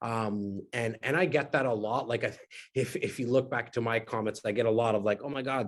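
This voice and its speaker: A man talking at a fairly quick pace, with ordinary pitch variation over noticeable background noise. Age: 40s. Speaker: real estate investor educator. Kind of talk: podcast interview. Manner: animated.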